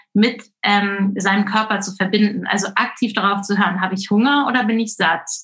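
This is a woman speaking. She has an unremarkable speaking voice. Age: 40s. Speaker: intuitive eating coach. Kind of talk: interview.

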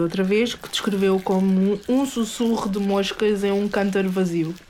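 Against noticeable background noise, a woman with a medium pitch and ordinary pitch variation speaks in an animated tone at a moderate pace. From Portugal, Alentejo. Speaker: podcast host. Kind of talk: casual chat.

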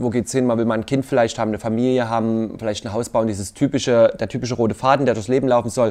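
A man at a medium pitch with fairly even intonation and a very fast pace. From Leipzig, Saxony. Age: 30s. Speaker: dating show contestant. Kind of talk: casual interview.

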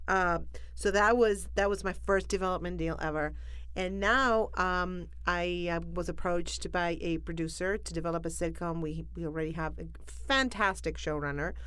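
Audible room echo is present. A woman talks at a moderate pace. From Argentina, Buenos Aires. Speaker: comedian. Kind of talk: casual chat.

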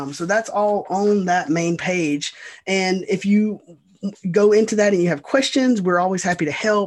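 This is a man speaking with an American accent. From US South, Georgia. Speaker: state bee inspector. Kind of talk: interview. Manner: animated.

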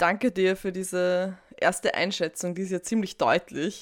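A woman has an unremarkable speaking voice at a medium pitch. She talks at a fairly slow pace. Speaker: podcast host. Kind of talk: interview. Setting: video call.

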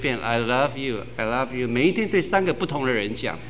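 Audible room echo and noticeable background noise surround a man speaking at medium pitch with ordinary pitch variation. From Taiwan, Tainan. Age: 50s. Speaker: pastor. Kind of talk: sermon.

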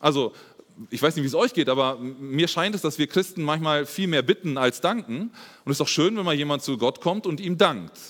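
Recorded very cleanly against a silent background, a man's fairly high voice shows very wide pitch swings. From Germany, Espelkamp (East Westphalia). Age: 30s. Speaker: lay preacher and teacher. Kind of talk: sermon. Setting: church service.

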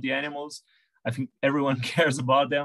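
A man's medium-pitched voice with a Brazilian accent, dry and close with no echo. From Brazil, Sao Paulo. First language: Portuguese. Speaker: veterinarian, horse behaviour consultant. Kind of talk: interview.

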